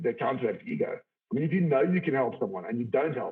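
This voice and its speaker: A man talks loudly at a very fast pace. His pitch is fairly high. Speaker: IT executive. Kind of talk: interview. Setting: video call from home study. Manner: forceful.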